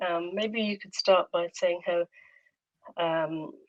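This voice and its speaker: This woman has a fairly low pitch and speaks with a British accent. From UK. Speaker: playwright, poet and performer. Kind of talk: casual conversation.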